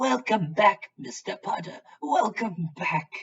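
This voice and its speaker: A put-on character voice, raspy at a middle pitch. It moves at a fairly slow pace. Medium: read story.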